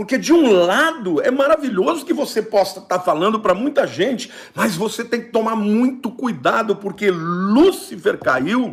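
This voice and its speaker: At a fairly slow pace, a man with a high pitch speaks with very wide pitch swings. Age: 60s. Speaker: pastor. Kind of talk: sermon.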